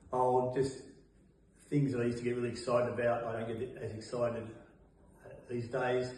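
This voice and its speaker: A man with an Australian accent, monotone and flat in intonation, with long, frequent pauses and audible room echo. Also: medium pitch for a man, fairly quick pace. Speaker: person with Parkinson's. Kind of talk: interview. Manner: halting.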